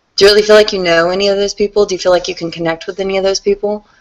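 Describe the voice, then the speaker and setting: Her voice lands in a medium pitch range. The speaker is female. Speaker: content marketing consultant. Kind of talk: group video call presentation. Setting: online video call. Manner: fast; animated.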